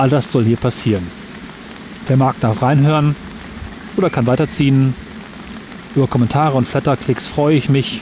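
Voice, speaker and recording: Amid noticeable background noise, a man speaks at a medium pitch with ordinary pitch variation. His loudness stays very even, broken by long, frequent pauses. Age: 30s. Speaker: podcaster. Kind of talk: personal monologue recorded outdoors. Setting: outdoors in a park by a waterfall, under an umbrella.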